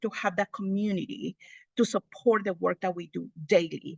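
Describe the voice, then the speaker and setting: With a Spanish accent, a woman is heard in a dry, close recording with no echo against a quiet background. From Honduras. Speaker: multicultural family outreach specialist. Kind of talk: presentation at an online meeting.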